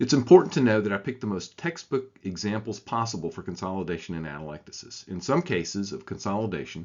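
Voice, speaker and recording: A man with a Southern US accent talks at a very fast pace with hardly any pauses and a fairly low pitch. His intonation is lively, and his loudness swings widely. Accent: southern American. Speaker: radiologist teaching. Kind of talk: scripted tutorial.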